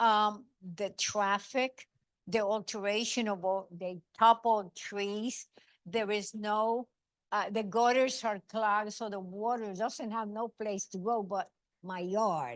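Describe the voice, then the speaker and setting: Speech at a very slow pace comes with a dry, close sound with no echo over a quiet background. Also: woman, medium pitch for a woman, fairly even intonation. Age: 80s+. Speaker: community member asking a question. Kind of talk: public Q&A at seminar. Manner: halting.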